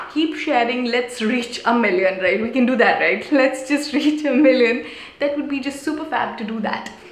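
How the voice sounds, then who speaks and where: A woman speaks in a high pitch at a moderate pace, with ordinary pitch variation. Noticeable background noise and audible room echo surround her voice. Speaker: youtuber. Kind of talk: live stream chat. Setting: small room, live stream. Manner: whispering; animated. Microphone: possible echo, may be hard to hear.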